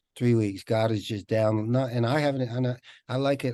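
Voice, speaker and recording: Against a quiet background, a man speaks at a moderate pace in a dark, mellow tone with fairly even intonation. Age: 60s. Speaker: network marketing leader and author. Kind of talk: group video call discussion. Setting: video call.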